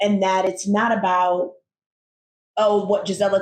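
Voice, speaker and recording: Using an ordinary speaking voice, a woman with an American accent talks at medium pitch. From United States. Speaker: podcast co-host. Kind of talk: casual conversation.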